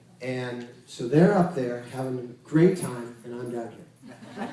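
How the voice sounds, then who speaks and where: A man speaking amid noticeable background noise and audible room echo. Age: 60s. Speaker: Kundalini yoga teacher. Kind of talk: spiritual lecture.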